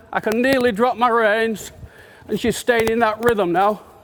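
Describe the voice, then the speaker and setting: Noticeable background noise behind a high-pitched man speaking at a moderate pace with fairly even intonation. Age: 60s. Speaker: horse riding trainer. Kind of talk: live riding demonstration.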